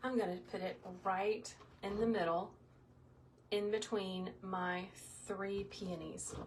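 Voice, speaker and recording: A somewhat breathy voice speaks at a very slow pace with monotone, flat intonation. Long, frequent pauses break up the speech. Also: woman, medium pitch for a woman. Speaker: wreath maker, small business owner, former kindergarten teacher. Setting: crafting tutorial. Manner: calm, instructive, like teaching young children.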